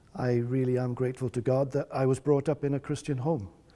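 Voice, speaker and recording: A man with a Welsh accent speaks at a medium pitch. His tone is dark and mellow, and his pace is moderate. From North Wales. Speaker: pastor. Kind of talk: testimony.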